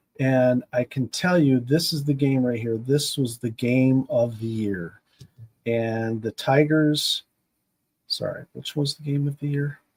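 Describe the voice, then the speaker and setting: Fairly slow speech from a man of medium pitch with ordinary pitch variation, in a dry, close sound with no echo. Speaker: sim baseball game streamer. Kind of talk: casual livestream monologue. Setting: home basement. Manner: halting, stumbling.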